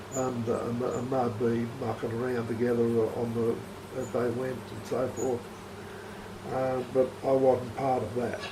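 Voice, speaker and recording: A man with an Australian accent, medium pitch and monotone, flat intonation at a fairly slow pace, amid noticeable background noise and audible room echo. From Australia, rural. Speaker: retired farmer. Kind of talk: interview. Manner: halting.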